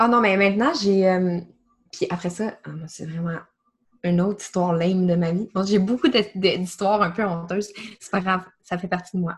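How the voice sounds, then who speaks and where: A woman with a Quebec accent speaks at a moderate pace, sounding somewhat breathy. Her speech has long, frequent pauses. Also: medium pitch for a woman, fairly even intonation. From Quebec, small region outside Montreal. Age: 30s. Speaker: marketing project manager and holistic coach. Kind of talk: casual interview.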